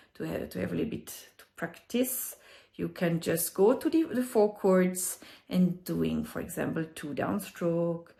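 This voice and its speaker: The speaker has a strong French accent. The pace is fairly slow. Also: woman. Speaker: ukulele teacher. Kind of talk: music tutorial explanation.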